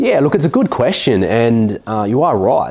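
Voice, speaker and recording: The pace is moderate. A man talks with an Australian accent. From South Australia, rural south coast near Adelaide. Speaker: buyer's agent, former electrician. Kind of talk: interview. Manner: halting, frequent repetitions.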